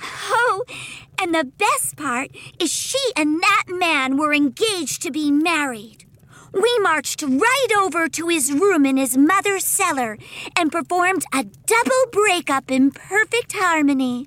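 A female-sounding voice puts on a character voice at an extremely high pitch for a woman, moving at a fairly slow pace. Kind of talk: comic audio drama. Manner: bubbly, excitable, sweetly macabre.

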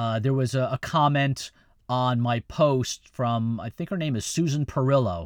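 A man's ordinary speaking voice at medium pitch, with ordinary pitch variation, a fairly slow pace, and a dry, close sound with no echo on a very clean recording against a silent background. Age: 50s. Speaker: podcast host. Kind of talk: casual chat. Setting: studio.

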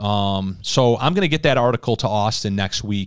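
A man speaks in an ordinary speaking voice at a fairly low pitch, with ordinary pitch variation and a moderate pace. The recording is very clean with a silent background, dry and close with no echo. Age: 40s. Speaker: podcast host. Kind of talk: casual chat.

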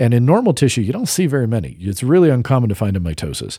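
At a very fast pace, a man's somewhat breathy voice has a dark, mellow tone and very wide pitch swings. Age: 40s. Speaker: podcast co-host. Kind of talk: casual chat.

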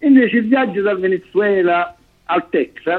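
A man speaks with music in the background. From southern Italy. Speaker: co-host, political commentator. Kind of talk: casual chat.

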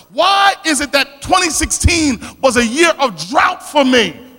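With a South Philadelphia accent, a man speaks in a raised, projected voice at an extremely high pitch, his tone energetic and his intonation lively, against noticeable background noise. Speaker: preacher. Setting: church. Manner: energetic, call-and-response preaching.

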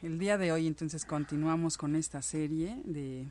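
Recorded very cleanly against a silent background, a woman speaks in a fairly low pitch with a dark, mellow tone. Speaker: radio host. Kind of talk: live radio show hosting. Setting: live internet radio studio. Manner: halting, many fillers.

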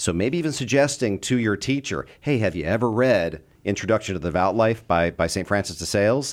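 Here is a man in an ordinary speaking voice, fairly low in pitch, with lively intonation at a fairly quick pace. The recording is very clean with a silent background. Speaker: fill-in radio host and fundraising director. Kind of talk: radio host. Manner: friendly, conversational.

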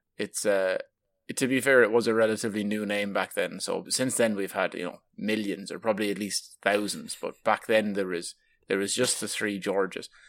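Over a silent background in a very clean recording, a man with an Irish accent speaks at a moderate pace, fairly low in pitch, with fairly even intonation. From southeast Ireland. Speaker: podcast host. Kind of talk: casual chat.

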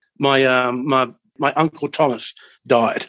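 In an Australian accent, a man speaks at a fairly high pitch with monotone, flat intonation. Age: 50s. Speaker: train controller. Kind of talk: storytelling.

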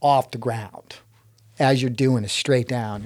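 In a very clean recording with a silent background, a man with a Texas accent speaks fairly slowly at medium pitch, with ordinary pitch variation. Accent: Texas, US South. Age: 60s. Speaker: inventor and rock climber. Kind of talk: casual storytelling in interview.

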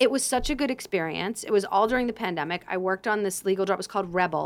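A woman talks at a medium pitch with ordinary pitch variation. Her voice has vocal fry. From suburban Boston, Massachusetts. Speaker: TV writer and actress. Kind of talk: casual chat.

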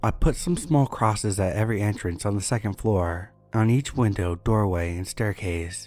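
Over music in the background, a man with a fairly low pitch speaks at a moderate pace with ordinary pitch variation. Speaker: scary story narrator. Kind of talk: scripted horror story narration, reading listener-submitted tales, for sleep.

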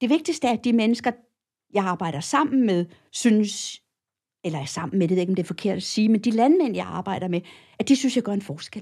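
A woman speaks at a fairly quick pace in a somewhat breathy, dark, mellow tone with fairly high pitch and very wide pitch swings. The recording is very clean, with a silent background. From Copenhagen, Denmark. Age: 60s. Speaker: cattle feeding advisor. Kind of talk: interview. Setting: studio. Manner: hesitant, many filler sounds.

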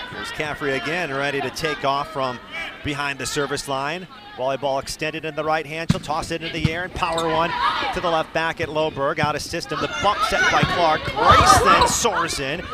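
Noticeable background noise accompanies a man with a fairly high pitch, speaking at a moderate pace in fairly even intonation. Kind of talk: live commentary.

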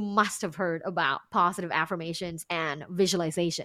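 A woman speaks in a Thai accent with a bright, sharp tone. The recording is very clean, with a silent background. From Thailand, Bangkok. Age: 30s. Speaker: sex and relationship coach, podcaster. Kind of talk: interview.

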